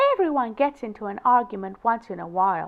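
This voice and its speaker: A woman speaks very fast in a put-on character voice pitched fairly high. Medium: read story. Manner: calm and firm.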